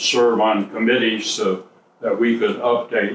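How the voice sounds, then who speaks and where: Noticeable background noise sits behind a man at medium pitch. His intonation is monotone and flat. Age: 80s+. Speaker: bridge engineer, university faculty. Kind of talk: interview answer.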